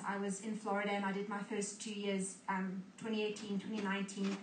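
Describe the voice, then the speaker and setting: A woman's flat, monotone voice amid audible room echo and noticeable background noise. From South Africa, Cape Town. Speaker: ministry school student. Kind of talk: testimony.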